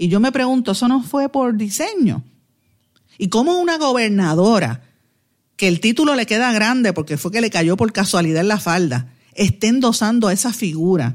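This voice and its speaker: A woman speaks with a fairly high pitch and very wide pitch swings. The recording is very clean, with a silent background. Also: moderate pace, very even loudness. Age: 50s. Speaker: radio host and political commentator. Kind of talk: news commentary; casual chat.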